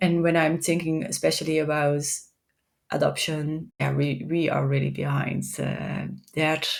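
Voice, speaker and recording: In a Dutch accent, a woman talks at a fairly slow pace. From Netherlands. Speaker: tech executive and AI consultant. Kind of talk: podcast interview. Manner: halting, many repetitions.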